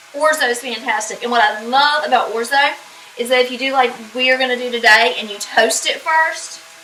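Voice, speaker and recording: A woman at a fairly quick pace, high in pitch with fairly even intonation, over noticeable background noise. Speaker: home cook. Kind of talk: cooking tutorial. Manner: casual, chatty.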